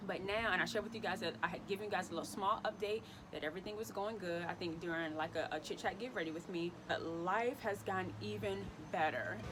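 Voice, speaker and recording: A woman speaks at a very fast pace with a medium pitch and ordinary pitch variation, over noticeable background noise. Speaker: lifestyle vlogger. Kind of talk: casual vlog monologue. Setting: outdoors. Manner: loud; animated.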